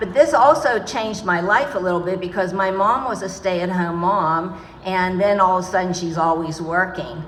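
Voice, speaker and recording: With an American accent, a woman at medium pitch speaks at a moderate pace with ordinary pitch variation, over noticeable background noise and audible room echo. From Pittsburgh, Pennsylvania. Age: 60s. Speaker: community speaker. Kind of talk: speech. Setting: outdoor market event with audience. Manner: hesitant, many fillers.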